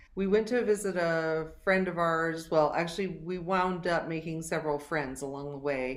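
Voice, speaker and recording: A woman talks at a moderate pace in a fairly low pitch. She has a plain, everyday voice. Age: 60s. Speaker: singer-songwriter. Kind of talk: casual chat.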